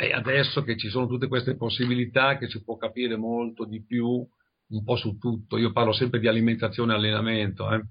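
His speech moves along fairly quickly. The man's intonation stays monotone and flat. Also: medium pitch for a man. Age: 70s. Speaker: bodybuilder and fitness teacher. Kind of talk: interview.

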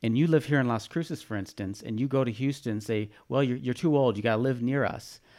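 This very clean recording has a silent background and a man speaking at a fairly quick pace. He has a normal speaking voice, medium pitch and ordinary pitch variation. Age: 50s. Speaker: retired newspaper publisher. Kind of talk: casual chat.

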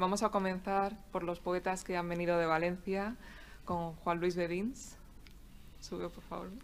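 A fairly low-pitched woman's voice, monotone and flat, at a fairly slow pace. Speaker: poet and event moderator. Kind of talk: formal presentation and moderating. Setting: live event with audience. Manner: formal, repeats words, halting.

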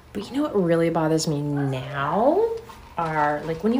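A woman speaks with an American accent at a fairly low pitch and ordinary pitch variation. Audible room echo and noticeable background noise fill the recording. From Arizona, US. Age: 50s. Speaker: social media creator on life over fifty. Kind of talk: casual chat.

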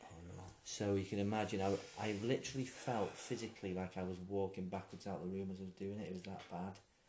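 A man talks at a very fast pace with a fairly low pitch. His tone is dark and mellow, and his intonation is monotone and flat. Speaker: former comedian, nurse and soldier. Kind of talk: casual interview chat.

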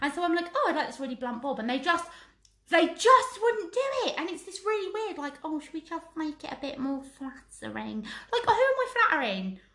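A woman with an English accent talks at a fairly quick pace in an extremely high pitch. Her tone is animated, with very wide pitch swings and big shifts in loudness. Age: 30s. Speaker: podcast co-host. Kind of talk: casual chat.

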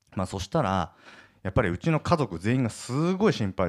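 Talking at a fairly quick pace with lively intonation, a man has an unremarkable speaking voice, recorded very cleanly against a silent background with a dry, close sound and no echo. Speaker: entrepreneur podcast host. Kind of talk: solo podcast monologue. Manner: casual with many fillers.

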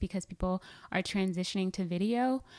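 At a moderate pace, a woman with an American accent and medium pitch speaks in a plain, everyday voice, captured in a very clean recording with a silent background. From US South, Atlanta, Georgia. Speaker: podcast host and digital media strategist. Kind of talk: interview.

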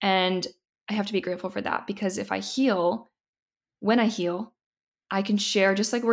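Here is an unremarkable speaking voice from a woman with an American accent. She talks at a medium pitch and a moderate pace, with fairly even intonation. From US Midwest, Indiana. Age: 20s. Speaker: model and podcaster. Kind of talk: casual chat.

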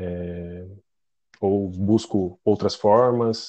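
Fairly low in pitch, a man's voice moves up and down in an ordinary way. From Curitiba, southern Brazil. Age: 30s. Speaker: health service client. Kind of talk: podcast interview. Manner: halting, many repetitions.

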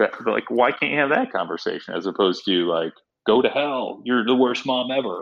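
Using an ordinary speaking voice, a man talks at a fairly quick pace with medium pitch and lively intonation. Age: 40s. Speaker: sports producer. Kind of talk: interview.

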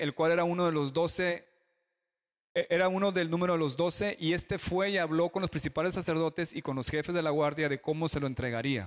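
The recording is very clean with a silent background, and a high-pitched man speaks at a fairly quick pace. His loudness stays very even, and his pitch variation is ordinary. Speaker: preacher. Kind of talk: sermon delivered to a live congregation, with a consecutive interpreter. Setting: church with congregation. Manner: animated, storytelling with jokes, leads call-and-response amens.

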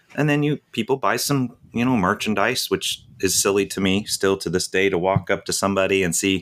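This man has an unremarkable speaking voice with a fairly low pitch and ordinary pitch variation, moving at a moderate pace. The recording is very clean with a silent background. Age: 50s. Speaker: full-time RVer and YouTuber. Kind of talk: casual interview.

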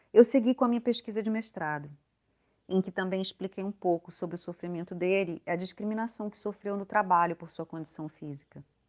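A woman speaks at a fairly quick pace in a medium pitch, a plain, everyday voice. The sound is dry and close with no echo, with big swings in loudness. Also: ordinary pitch variation. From Manaus, Brazil, later Minas Gerais and Paraná. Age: 40s. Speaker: anthropologist. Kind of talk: scripted narration.

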